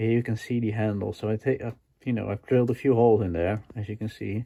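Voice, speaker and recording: This man's voice is fairly low, with a dark, mellow tone. His intonation stays fairly even. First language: not English. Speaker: DIY tool restoration video maker. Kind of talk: tutorial. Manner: hesitant, many fillers.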